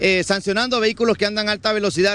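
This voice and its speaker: Dry with no echo, a man's high-pitched voice moves at a fairly quick pace with fairly even intonation. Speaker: TV news field reporter. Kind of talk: live news report. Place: street. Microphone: handheld.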